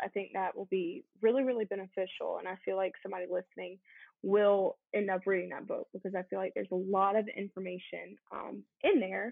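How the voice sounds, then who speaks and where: A woman with an ordinary speaking voice talks at a medium pitch and a fairly quick pace. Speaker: co-host keeping the discussion on track. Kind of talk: casual podcast chat.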